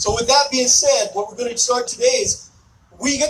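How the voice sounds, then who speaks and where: Noticeable background noise runs behind a man who speaks with an American accent at a moderate pace. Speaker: army veteran, event host. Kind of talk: ceremony speech to outdoor audience. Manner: loud; forceful, sounds angry to some.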